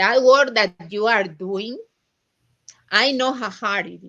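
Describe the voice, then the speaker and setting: A woman speaks at a very slow pace in a fairly high pitch with a bright, sharp tone. Her pitch variation is ordinary. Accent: strong Latin American. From Latin America. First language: Spanish. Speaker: estranged mother. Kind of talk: interview. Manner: halting.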